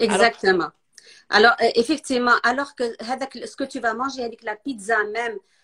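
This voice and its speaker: Speaking at a moderate pace, a woman with a fairly high pitch and a bright, sharp tone shows ordinary pitch variation and big swings in loudness, the sound dry and close with no echo. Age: 50s. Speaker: nutrition specialist. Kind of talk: casual interview chat. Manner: halting.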